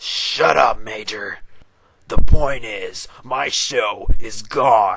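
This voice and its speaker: In a raspy, put-on character voice, a man talks at a very slow pace. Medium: comedy sketch.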